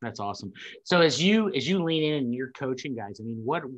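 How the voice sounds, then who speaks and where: His intonation is lively and his pace moderate. Nothing stirs behind him. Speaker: interviewer, staffing company co-founder. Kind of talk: interview host. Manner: upbeat, casual. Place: office. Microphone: video call.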